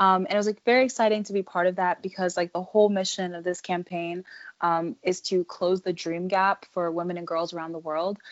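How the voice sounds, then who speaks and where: Fairly quick and fairly even in intonation, the delivery comes in an ordinary speaking voice. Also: woman, medium pitch for a woman. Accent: American. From US, Delaware/Philadelphia area. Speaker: student entrepreneur and author. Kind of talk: interview.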